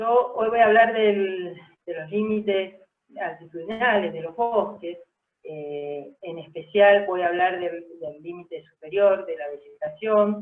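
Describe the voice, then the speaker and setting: A woman with a plain, everyday voice talks at a fairly slow pace and medium pitch, with ordinary pitch variation and big swings in loudness. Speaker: scientist presenting research. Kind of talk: webinar lecture.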